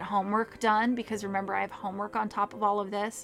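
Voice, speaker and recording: Music plays in the background. The delivery is very fast, with monotone, flat intonation. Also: woman. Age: 40s. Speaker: podcast host and author. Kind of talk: casual solo talk.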